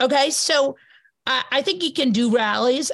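Somewhat breathy, a woman speaks with an American accent. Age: 40s. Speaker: journalist and podcaster. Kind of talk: casual interview. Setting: video call.

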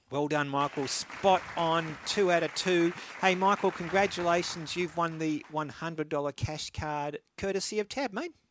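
In a very clean recording with a silent background, a man with an Australian accent speaks in a high voice at a fairly slow pace, with ordinary pitch variation and hardly any pauses. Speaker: radio host. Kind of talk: radio sports talk show, live broadcast. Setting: studio.

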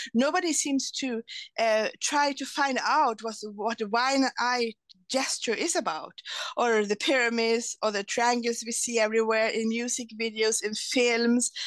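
Speaking at a fairly slow pace with a Swedish accent, a woman uses a fairly high pitch and ordinary pitch variation. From Sweden. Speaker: lawyer and translator. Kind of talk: interview. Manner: halting.

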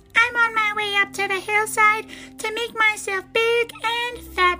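A woman puts on a squeaky character voice at an extremely high pitch, with a bright, sharp tone, a fairly slow pace, fairly even intonation, and faint music in the background.

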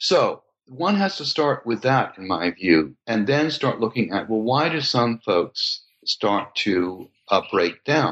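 At a very slow pace, the voice moves through very wide pitch swings. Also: man, medium pitch for a man. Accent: American. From US West Coast, California. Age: 70s. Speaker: psychoanalyst and author. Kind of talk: interview.

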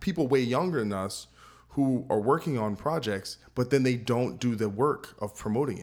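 A man talks with a New Jersey accent at a moderate pace. His pitch is medium, with ordinary variation. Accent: American English, New Jersey. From New Jersey, US. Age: 30s. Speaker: podcast host and metal guitarist. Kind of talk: casual interview chat.

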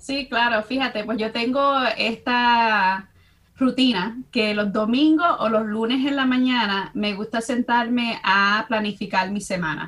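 A woman with a normal speaking voice, fairly high pitch, ordinary pitch variation, and a fairly slow pace. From US Midwest, Chicago (Dominican family). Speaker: university professor. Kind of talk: casual interview chat.

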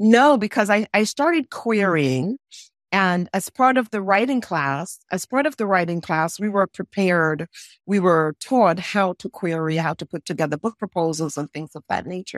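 A woman with an ordinary speaking voice, medium pitch and lively intonation at a moderate pace, dry and close with no echo, over a quiet background. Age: 60s. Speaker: actress and memoir author. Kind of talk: interview.

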